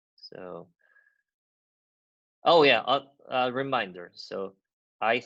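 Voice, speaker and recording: A man speaks with a Korean accent. His tone is bright and sharp. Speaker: university lecturer. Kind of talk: lecture. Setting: video call.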